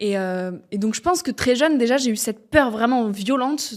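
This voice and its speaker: Talking at a moderate pace, a woman uses a normal speaking voice pitched fairly high. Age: 20s. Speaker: podcaster and speaker. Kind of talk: interview conversation.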